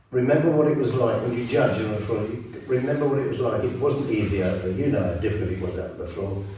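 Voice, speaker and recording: A man's medium-pitched voice with an English accent and ordinary pitch variation, audible room echo and noticeable background noise behind it. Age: 80s+. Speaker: ballroom dance teacher and former competitor. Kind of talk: interview. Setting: dance studio. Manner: halting.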